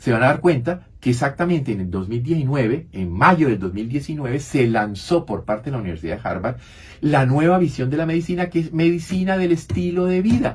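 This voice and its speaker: The voice is somewhat breathy, moves at a fairly quick pace and swings very widely in pitch. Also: man. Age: 70s. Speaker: physician, radio health show co-host. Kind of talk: radio talk show conversation.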